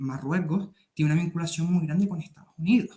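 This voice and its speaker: With a Canarian accent, a man talks in a dark, mellow tone. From Canary Islands. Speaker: military affairs youtuber. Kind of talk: interview. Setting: video call.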